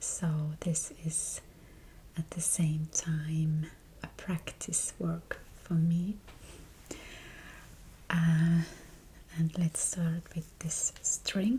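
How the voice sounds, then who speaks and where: Soft-spoken and calm, a woman with a fairly low voice talks at a very slow pace with long, frequent pauses, against noticeable background noise. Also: fairly even intonation. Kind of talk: soft-spoken ASMR chat while crafting. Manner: soft-spoken, calm, slow.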